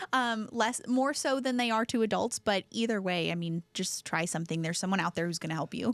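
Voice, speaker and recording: This woman has an ordinary speaking voice, fairly high in pitch, with lively intonation and a fairly quick pace. The sound is dry and close with no echo. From Houston, Texas. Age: 20s. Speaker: outdoor business coalition director. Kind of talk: podcast interview.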